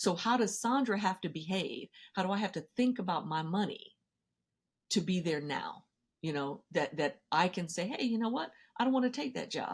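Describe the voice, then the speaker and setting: This woman's voice is somewhat breathy and medium in pitch. She speaks at a moderate pace with lively intonation. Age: 60s. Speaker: financial therapy expert and educator. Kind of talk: podcast interview.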